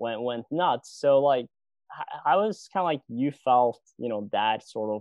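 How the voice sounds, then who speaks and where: This man has a plain, everyday voice of medium pitch with ordinary pitch variation. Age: 20s. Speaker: podcast host. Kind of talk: interview. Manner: casual, many fillers like and you know.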